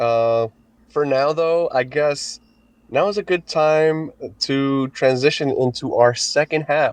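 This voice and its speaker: The speaker is a man with ordinary pitch variation. He goes at a fairly slow pace. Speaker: podcast co-host. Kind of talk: casual chat. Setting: recording in a room at home, someone asleep. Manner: halting, repeats words; softer than usual, quiet.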